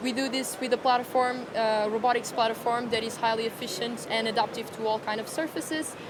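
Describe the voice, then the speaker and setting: A woman in a Portuguese accent, fairly high-pitched and fairly quick with hardly any pauses, her intonation monotone and flat, over noticeable background noise. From Portugal. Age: young. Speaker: startup founder. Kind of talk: interview. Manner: hesitant.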